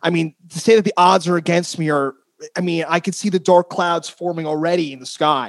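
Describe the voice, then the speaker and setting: In a dry, close sound with no echo, a man with an American accent speaks fairly quickly at a high pitch with fairly even intonation. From northern New Jersey. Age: 30s. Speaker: podcast host. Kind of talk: casual chat.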